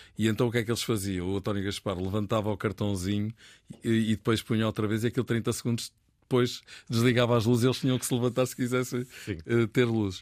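A man talks at a very fast pace with a medium pitch. The sound is dry and close with no echo, on a very clean recording with a silent background. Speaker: radio football commentator, book author. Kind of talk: casual chat. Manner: animated, laughing.

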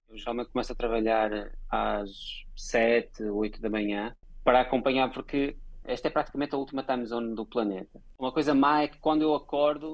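This man speaks at a fairly quick pace with medium pitch, ordinary pitch variation and big swings in loudness. He has an unremarkable speaking voice. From Portugal. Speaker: advertising creative director. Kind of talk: interview.

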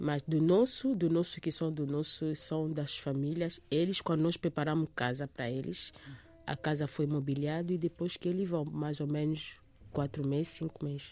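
In a very clean recording with a silent background, a woman speaks at a very deep, low pitch with a dark, mellow tone and ordinary pitch variation. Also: moderate pace. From DR Congo, Kinshasa. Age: 30s. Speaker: refugee and support worker. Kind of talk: interview. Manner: halting.

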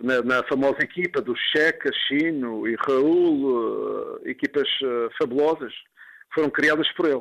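The delivery is very slow, with very even loudness. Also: man, ordinary pitch variation. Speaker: former footballer. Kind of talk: interview testimony. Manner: halting, many fillers.

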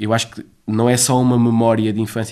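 At a moderate pace, a man speaks at a medium pitch in a monotone, flat tone. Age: 30s. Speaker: children's play association coordinator. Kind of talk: interview. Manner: halting, with many repetitions.

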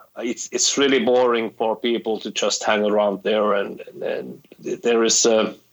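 A man with a Finnish accent at a fairly slow pace. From Finland. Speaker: rock guitarist. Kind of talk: interview.

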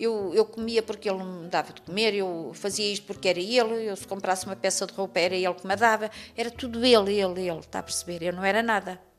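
A woman with a European Portuguese accent talks at a very fast pace with hardly any pauses, her medium pitch and fairly even intonation set against big swings in loudness. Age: 50s. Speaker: domestic violence survivor. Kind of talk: testimony. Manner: halting.

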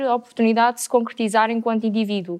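A woman with a fairly high pitch and fairly even intonation uses a normal speaking voice. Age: 20s. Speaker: student and interpreter. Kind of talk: panel debate.

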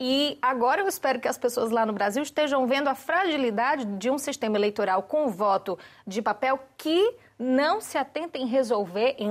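With a Brazilian accent, a woman speaks at a moderate pace in a high pitch with lively intonation. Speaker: panelist commentator, immigrant in Portugal. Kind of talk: panel discussion.

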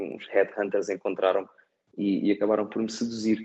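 A man talks in a dark, mellow tone. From Portugal, Setúbal. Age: 30s. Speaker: airport designer, emigrant. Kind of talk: interview. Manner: halting, many repetitions.

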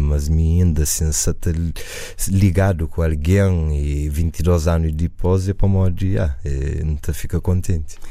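With noticeable background noise and audible room echo, a man speaks at a fairly slow pace in a very deep, low voice with fairly even intonation. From USA, Cape Verdean family. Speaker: musician. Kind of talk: radio interview. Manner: halting.

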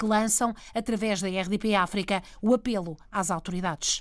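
Speaking at a moderate pace, a woman has an ordinary speaking voice with a fairly high pitch. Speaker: radio health reporter. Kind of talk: radio report narration.

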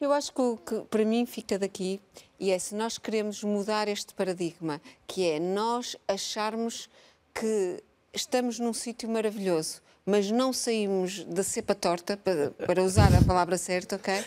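Here a woman speaks at a fairly slow pace with a medium pitch and ordinary pitch variation. It is an unremarkable speaking voice in a very clean recording with a silent background. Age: 50s. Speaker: biologist and research institute director. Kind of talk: televised panel debate. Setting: live broadcast from a museum.

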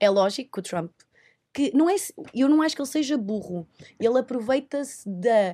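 A high-pitched woman's voice with very wide pitch swings, a moderate pace, and long, frequent pauses. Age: 20s. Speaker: TV presenter. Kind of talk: casual chat.

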